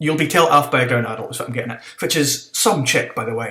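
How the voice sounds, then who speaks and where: A man with a northeast Scottish accent speaks in a bright, sharp tone with fairly even intonation. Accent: Doric Scots. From North-East Scotland. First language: Scots (Doric). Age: 20s. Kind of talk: casual talk to camera.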